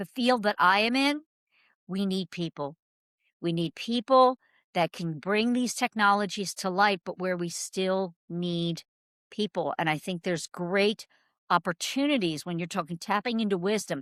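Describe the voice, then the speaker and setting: On a very clean recording with a silent background and a dry, close sound with no echo, a woman speaks at a moderate pace and medium pitch with lively intonation and an animated tone. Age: 60s. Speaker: marketing agency founder. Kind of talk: interview.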